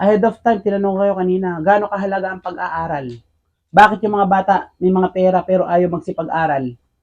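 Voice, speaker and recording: Here a man talks at a high pitch with ordinary pitch variation. His pace is very fast. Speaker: teacher and interviewer. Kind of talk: casual interview talk.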